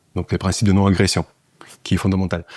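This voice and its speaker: A man's fairly low voice in a Russian accent, dry and close with no echo, on a very clean recording with a silent background. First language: Russian (speaking French). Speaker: political party leader. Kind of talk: interview. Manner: hesitant, many fillers.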